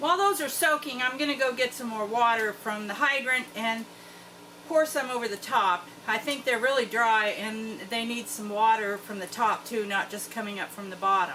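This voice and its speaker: Over noticeable background noise, a woman with an American accent and a fairly high voice swings widely in loudness. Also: ordinary pitch variation, moderate pace. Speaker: homestead farmer. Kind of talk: tutorial. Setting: greenhouse. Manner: casual.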